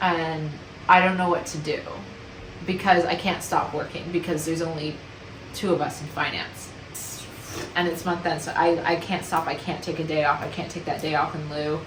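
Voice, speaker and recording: A woman with a Canadian accent speaks at a moderate pace in a fairly low, monotone, flat voice, with long, frequent pauses, noticeable background noise and audible room echo. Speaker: vlogger. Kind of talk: casual vlog monologue.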